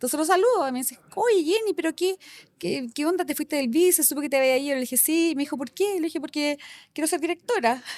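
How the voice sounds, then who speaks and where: Speaking at a very fast pace, this woman has a Chilean accent and a high pitch. Her intonation is lively and the sound is dry and close with no echo. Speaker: company director. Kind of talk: casual interview chat. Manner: animated.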